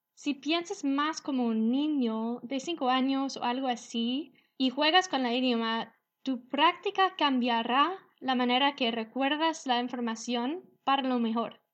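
A woman's high voice with an English accent, fairly slow pace, ordinary pitch variation, and a quiet background. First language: English (speaking Spanish). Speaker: English teacher podcast host. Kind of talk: language lesson.

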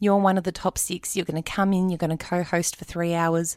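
A woman with an Australian accent at a fairly quick pace, on a very clean recording with a silent background. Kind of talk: testimony.

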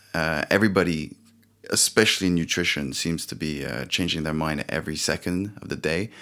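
A man with a French accent speaks at a fairly quick pace in a very deep, low pitch, with ordinary pitch variation and vocal fry. His tone is bright and sharp, and the recording is very clean with a silent background. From France. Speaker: company founder. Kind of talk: casual interview. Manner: halting, many fillers.

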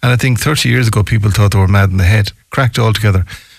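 Somewhat breathy, a man speaks with a western Irish accent. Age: 60s. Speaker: local radio talk show host. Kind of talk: radio talk show. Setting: radio studio.

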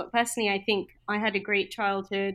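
A woman with a British accent talks at a very fast pace in a medium pitch. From UK. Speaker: junior doctor turned product manager. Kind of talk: casual interview.

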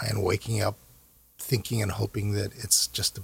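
The voice is somewhat breathy, in an American accent, at a fairly slow pace. The sound is dry and close with no echo. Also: man. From US, Korean American raised. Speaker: investment banker and foundation co-founder. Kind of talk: interview. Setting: studio.

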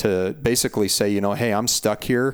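Using a normal speaking voice, a man with an American accent talks at a moderate pace and a fairly low pitch. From Montana. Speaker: hunting podcast host. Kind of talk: casual interview chat.

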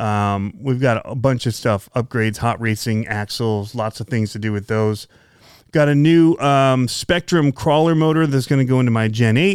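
A man speaks at a moderate pace. His pitch is medium. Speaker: RC hobby podcast host. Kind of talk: solo casual podcast monologue. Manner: monotone.

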